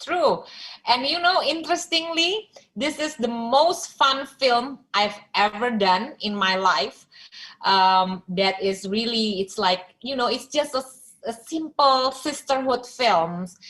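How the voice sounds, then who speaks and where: The voice has a bright, sharp tone and very wide pitch swings. Its pace is very slow. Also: woman, high pitch for a woman. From Indonesia. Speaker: filmmaker. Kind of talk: interview. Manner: halting.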